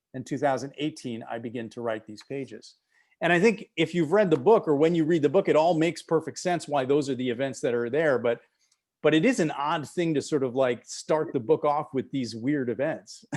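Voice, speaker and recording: With an American accent, a man speaks in a plain, everyday voice at a fairly quick pace, his fairly high pitch showing ordinary pitch variation. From Wisconsin, US Midwest. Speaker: author and playwright. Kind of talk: author interview. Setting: video call.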